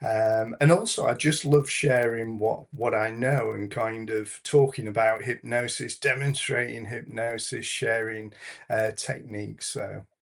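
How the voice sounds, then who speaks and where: In a Yorkshire accent, a man talks at a fairly slow pace. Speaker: hypnotherapist and stage hypnotist. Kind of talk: interview.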